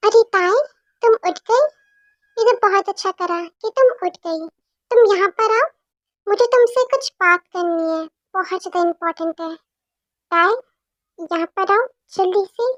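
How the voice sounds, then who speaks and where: A woman uses a put-on character voice, squeaky and extremely high-pitched, with ordinary pitch variation. She goes at a moderate pace with long, frequent pauses, in a dry, close sound with no echo. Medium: read story. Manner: warm, coaxing.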